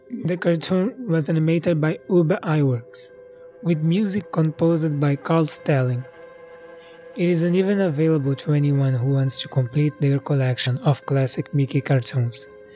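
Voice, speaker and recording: A man speaks at a moderate pace in a fairly high pitch, with lively intonation, very even loudness, and music in the background. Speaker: storyteller. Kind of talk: horror story reading.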